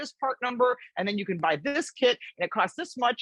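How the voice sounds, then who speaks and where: In a dry, close sound with no echo, a woman with a high pitch talks at a fairly quick pace in an animated, confident tone, her pitch swinging very widely. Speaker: automotive expert. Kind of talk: interview.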